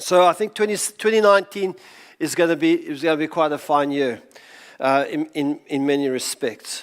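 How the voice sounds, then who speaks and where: At a moderate pace, a man uses a plain, everyday voice at fairly high pitch with ordinary pitch variation. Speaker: pastor. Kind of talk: sermon to a congregation.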